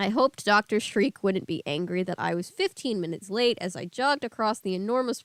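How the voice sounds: This is a natural reading voice. It reads in a natural way.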